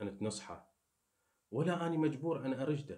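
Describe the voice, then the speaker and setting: A man with vocal fry speaks at a moderate pace, with audible room echo around him. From Iraq. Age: 30s. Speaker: YouTuber. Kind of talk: casual monologue to viewers.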